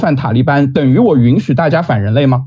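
A man with a dark, mellow tone talks at a moderate pace over a quiet background. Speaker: university student debater. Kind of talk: competitive debate. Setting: video call. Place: home room. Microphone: webcam.

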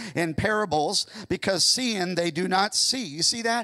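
A man's bright, sharp tone at a moderate pace, quiet background. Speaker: pastor. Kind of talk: sermon. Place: church. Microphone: handheld.

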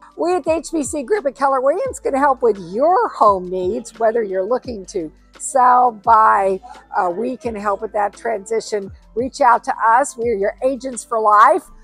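A woman at a fairly slow pace, dry with no echo, faint music in the background. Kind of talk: promotional vlog walkthrough. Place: shop. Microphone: lapel.

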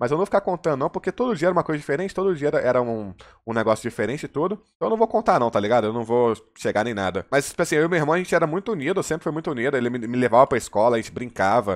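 Against a quiet background, a man with a fairly high pitch talks at a very fast pace, his pitch swinging very widely. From Brazil, Contagem (Minas Gerais); Minas Gerais, Brazil. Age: 20s. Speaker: gaming YouTuber; streamer. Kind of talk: personal confessional monologue. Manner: hesitant, many fillers and repetitions. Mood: personal, reflective storytelling. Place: home room. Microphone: headset.

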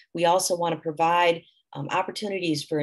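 The pace is fairly quick, in a plain, everyday voice. The background is quiet. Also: woman. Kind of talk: presentation. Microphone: webcam.

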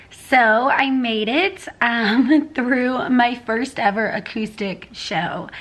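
A woman with a fairly high pitch and fairly bright tone speaks at a slow pace, her pitch varying in an ordinary way.

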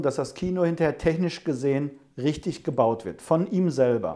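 Over a quiet background, a man with a normal speaking voice talks at a fairly high pitch and moderate pace with ordinary pitch variation. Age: 50s. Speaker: home cinema company owner. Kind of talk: interview. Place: office.

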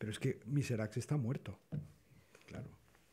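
This man has a medium-pitched, dark, mellow voice that is somewhat breathy. His pitch varies in an ordinary way. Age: 60s. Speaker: photography historian on a panel. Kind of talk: panel discussion. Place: hall. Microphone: podium.

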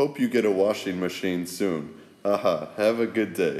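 A man with an American accent speaks fairly slowly at a medium pitch with ordinary pitch variation. He has an unremarkable speaking voice. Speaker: travel vlogger. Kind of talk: casual vlog narration reading messages.

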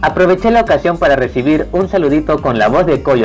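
Music plays in the background. A man speaks at a moderate pace with lively intonation. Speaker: anime YouTuber. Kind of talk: casual talk to camera.

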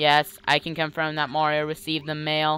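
At a moderate pace and middle pitch, the speaker holds a put-on character voice in a monotone, flat intonation.

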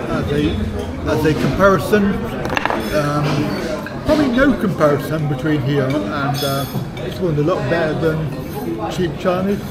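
A man speaks fairly slowly with ordinary pitch variation. Loud background noise is present. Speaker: travel vlogger. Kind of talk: casual vlog chat. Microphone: phone near.

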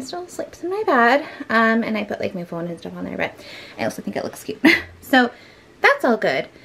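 Light noise lingers behind a woman's voice. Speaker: home vlogger. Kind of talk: casual vlog chat. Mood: relaxed, a little self-deprecating. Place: home room. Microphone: phone near.

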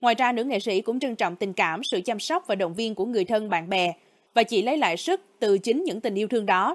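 Speaking at a fairly quick pace, a woman has an ordinary speaking voice, fairly high with lively intonation, in a very clean recording with a silent background and a dry, close sound with no echo. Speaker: news narrator. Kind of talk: news reading.

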